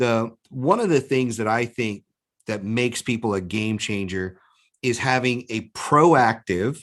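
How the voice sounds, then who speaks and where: In a normal speaking voice, a man talks at a fairly low pitch with ordinary pitch variation. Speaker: business coach. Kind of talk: webinar talk.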